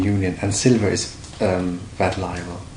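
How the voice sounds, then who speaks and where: A man speaks at a fairly slow pace with a German accent, his pitch fairly low and his intonation monotone and flat. The room echo is audible and there is noticeable background noise. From Germany. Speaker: precious metals dealer. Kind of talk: interview. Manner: halting.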